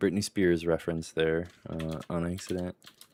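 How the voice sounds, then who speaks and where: The man's voice is very deep and low in pitch. His intonation is monotone and flat. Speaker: writing livestream host. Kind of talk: casual chat. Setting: livestream with headset.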